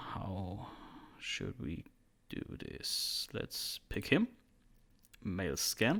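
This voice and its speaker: A man with a German accent speaks very slowly, leaving long, frequent pauses. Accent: German accent, self-described bad English. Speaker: 3D artist, tutorial creator. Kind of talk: tutorial. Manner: casual, hesitant at times.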